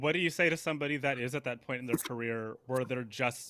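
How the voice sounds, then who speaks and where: A loud man's voice, bright and sharp in tone, medium in pitch with ordinary pitch variation, in a very clean recording with a silent background. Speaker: interview host. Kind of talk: casual interview.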